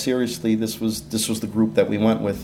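With audible room echo behind him, a man speaks fairly quickly at a medium pitch in a dark, mellow tone. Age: 50s. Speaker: inventor and entrepreneur. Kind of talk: interview.

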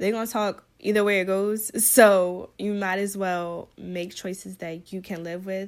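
On a very clean recording with a silent background, a woman speaks at a medium pitch. Her delivery is fairly slow and monotone, with flat intonation and hardly any pauses. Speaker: wardrobe stylist and podcast host. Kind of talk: casual solo monologue.

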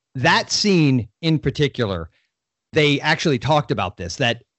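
At a moderate pace, a man with a fairly high pitch and vocal fry speaks with very wide pitch swings. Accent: American. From Florida. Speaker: podcast guest, horror fan. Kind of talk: casual chat.

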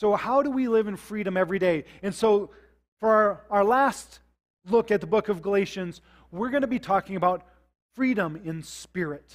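A high-pitched man with an American accent, moderate pace and ordinary pitch variation. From US Midwest, South Dakota. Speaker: pastor. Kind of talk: sermon. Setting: church service with congregation, streamed online. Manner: halting, frequent repetitions.

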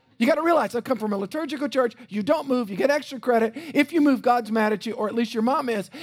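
An American-accented man talks very fast in an animated tone, his pitch extremely high with ordinary variation. Background noise is noticeable. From South Louisiana. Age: 50s. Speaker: pastor. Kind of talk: sermon. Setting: church.

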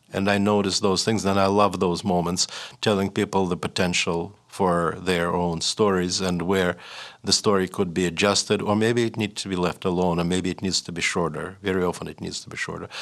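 A man with a Russian accent speaks at a fairly quick pace. His very deep, low voice stays monotone and flat. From Russia (Leningrad / Saint Petersburg). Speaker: writer and professor. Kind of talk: interview. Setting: studio. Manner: halting, with frequent repetitions and fillers.

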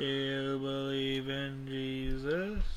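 A put-on character voice at low-to-middle pitch comes through over clear background noise. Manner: cheesy.

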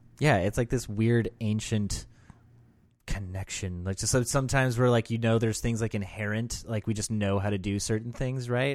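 Recorded very cleanly against a silent background, a man speaks in an animated tone at a medium pitch and a moderate pace. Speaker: podcast host. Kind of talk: casual banter between co-hosts. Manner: joking, animated.

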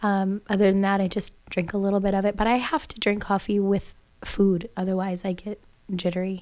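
Monotone, flat intonation marks this woman's speech. She talks at a fairly quick pace. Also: medium pitch for a woman. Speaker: podcast co-host and yoga teacher. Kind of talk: casual chat.

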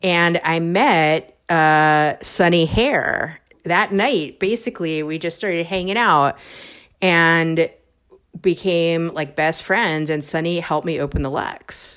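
A woman speaks at a very slow pace with an American accent. Her pitch is fairly low, with ordinary pitch variation. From US, New York City. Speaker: bar owner. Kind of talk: interview. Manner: casual, halting.

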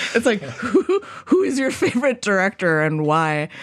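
Speaking with an American accent, a woman comes through on a very clean recording with a silent background. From Wisconsin, Milwaukee. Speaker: poet and arts organizer. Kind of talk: casual chat.

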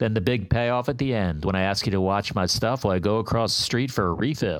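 A man's plain, everyday voice with lively intonation, on a very clean recording with a silent background. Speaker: comedian. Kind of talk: stand-up routine.

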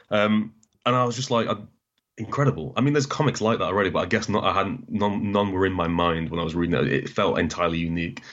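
Here a man with a northern English accent speaks very fast. His pitch is fairly low and his intonation lively. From northern England (Doncaster, Newcastle). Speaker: comics analysis YouTuber. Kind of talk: casual interview.

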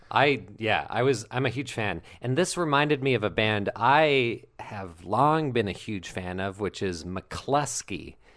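Speaking at a fairly slow pace with hardly any pauses, a man with a plain, everyday voice uses medium pitch and lively intonation on a very clean recording with a silent background. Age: 20s. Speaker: podcast co-host, actor and comedian. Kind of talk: casual chat; reading aloud.

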